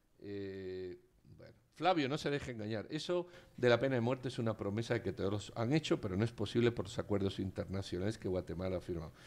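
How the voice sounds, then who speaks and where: A normal speaking voice comes through at a fairly quick pace over a quiet background. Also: man, fairly low pitch for a man. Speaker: radio talk show host. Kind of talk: casual chat. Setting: studio.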